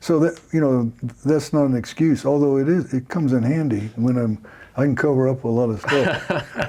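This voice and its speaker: Noticeable background noise runs behind a man speaking at a moderate pace and very even loudness. His medium pitch shows ordinary pitch variation. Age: 70s. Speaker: pastor and leadership coach. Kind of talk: casual chat. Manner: halting.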